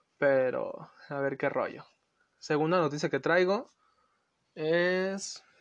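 A man with a Mexican accent, fairly high pitch and ordinary pitch variation, over a quiet background. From Los Angeles, US; lives in Mexico. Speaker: podcast host. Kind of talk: casual solo podcast talk.

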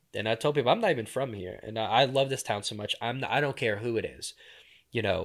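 A man talks at a very fast pace in an animated tone with ordinary pitch variation. The recording is very clean, with a silent background. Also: medium pitch for a man. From southern Louisiana, New Orleans area. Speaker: local activist and outdoorsman. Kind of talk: casual interview.

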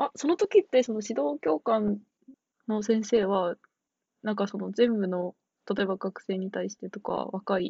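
At a moderate pace, a woman speaks at medium pitch with ordinary pitch variation. Vocal fry runs through her voice. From Tochigi. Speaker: returning podcast guest. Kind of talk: casual chat.

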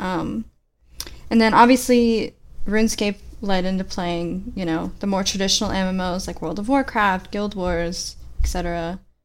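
This is an unremarkable speaking voice at a moderate pace. Its intonation stays fairly even. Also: woman, medium pitch for a woman. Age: 20s. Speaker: gaming podcast co-host. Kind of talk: casual chat.

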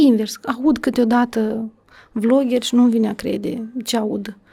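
A normal speaking voice from a woman, pitched fairly high and paced moderately. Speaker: education official. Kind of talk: podcast interview.

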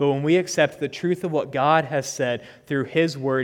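At a moderate pace, a man speaks at a fairly high pitch in a plain, everyday voice. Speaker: preacher. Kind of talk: sermon. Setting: church.

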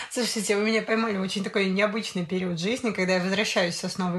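The speaker is a woman with a somewhat breathy voice. Her intonation stays fairly even. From Sosnovy Bor, Leningrad region, Russia. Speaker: podcast guest, storyteller. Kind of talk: casual chat.

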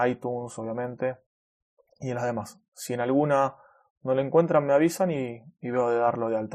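His pitch sits in the medium range. This man keeps his intonation fairly even. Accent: Rioplatense. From Argentina, Buenos Aires. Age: 30s. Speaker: web developer and podcast host. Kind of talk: casual solo podcast monologue. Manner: natural, unscripted with fillers.

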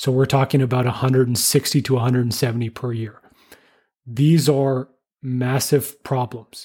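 In a Canadian accent, a man speaks at a moderate pace with a medium pitch, a dark, mellow, somewhat breathy tone and monotone, flat intonation, on a very clean recording with a silent background. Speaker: engineer and podcast host. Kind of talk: interview conversation.

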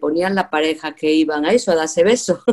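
A woman's dark, mellow voice with ordinary pitch variation. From Spain, Andalusia (Jaén). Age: 60s. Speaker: retired teacher. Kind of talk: casual chat.

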